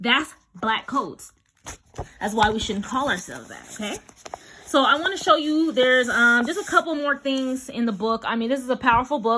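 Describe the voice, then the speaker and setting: Projecting her raised voice, a woman speaks at a high pitch with lively intonation and big swings in loudness. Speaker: social commentary vlogger. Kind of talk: video monologue with reading aloud. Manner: fast.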